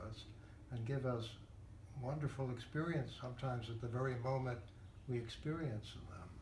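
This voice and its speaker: A man at medium pitch and moderate pace, with ordinary pitch variation and noticeable background noise. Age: 80s+. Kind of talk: interview answer. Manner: thoughtful, hesitant.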